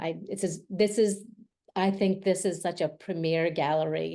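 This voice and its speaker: A woman speaks with an American accent in a dark, mellow tone. Her intonation stays fairly even at a fairly slow pace. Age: 60s. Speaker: portrait photographer. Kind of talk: panel discussion.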